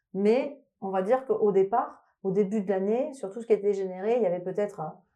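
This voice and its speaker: At a moderate pace, a woman with a slight Toulouse accent speaks in a dark, mellow tone. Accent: slight Toulouse intonation. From France, Toulouse. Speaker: electronic musician. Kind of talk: interview. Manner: halting.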